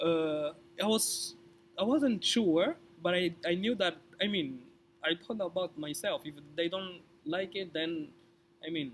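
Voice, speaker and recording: Pausing long and often, a man with a high pitch speaks at a fairly slow pace with ordinary pitch variation. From Angola. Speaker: scholarship recipient sharing interview tips. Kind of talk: casual interview. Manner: halting, repeated words.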